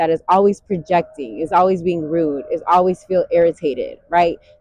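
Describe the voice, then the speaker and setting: This woman has an ordinary speaking voice, fairly low in pitch, with ordinary pitch variation at a moderate pace. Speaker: meditation guide. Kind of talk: guided meditation talk. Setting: outdoors. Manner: warm, calm, conversational.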